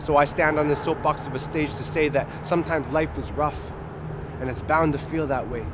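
With a fairly high pitch and monotone, flat intonation, a man is heard over noticeable background noise in a dry sound with no echo. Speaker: spoken word poet. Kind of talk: slam poetry performance. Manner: fast, rhythmic, rapped-style delivery. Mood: earnest, uplifting.

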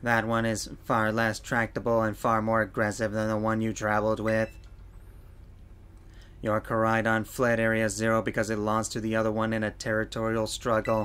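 Over clear background noise, a man uses a put-on, robotic character voice at a medium pitch and moderate pace.

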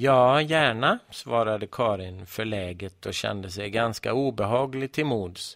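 Someone reads aloud in a natural voice, with pitch moving in an ordinary way.

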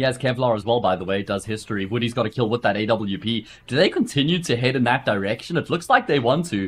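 The man talks at a very fast pace in a medium pitch, with ordinary pitch variation. His voice is somewhat breathy. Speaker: esports commentator. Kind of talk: live esports commentary. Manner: brisk play-by-play.

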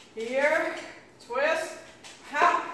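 A woman speaks very slowly in a raised, projected voice with ordinary pitch variation. Strong room echo and noticeable background noise surround her. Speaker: fitness instructor. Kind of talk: exercise cues. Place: gym. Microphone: camera far.

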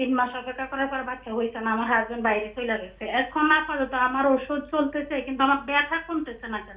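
Over noticeable background noise, a woman with a high pitch keeps her intonation fairly even while her loudness swings widely. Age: 30s. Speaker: caller with joint pain. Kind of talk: describing symptoms to a doctor. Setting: phone call.

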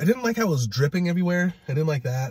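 A man's somewhat breathy voice, dark and mellow in tone, with very wide pitch swings. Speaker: food vlogger. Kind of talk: casual food review chat. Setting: in a car.

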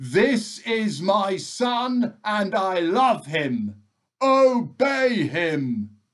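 A man's put-on character voice, high in pitch, at a very slow pace

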